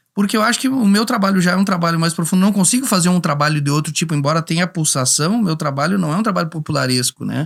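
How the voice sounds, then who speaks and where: In a very clean take against a silent background, a man talks high in pitch with lively intonation. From Rio Grande do Sul, São Luís Gonzaga. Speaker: singer-songwriter. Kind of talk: podcast interview. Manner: halting, many repetitions.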